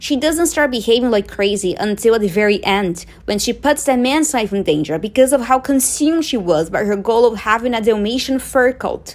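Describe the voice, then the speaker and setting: With a non-native accent, a woman speaks at a moderate pace with lively intonation. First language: not English. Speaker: movie commentator. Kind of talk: video essay commentary.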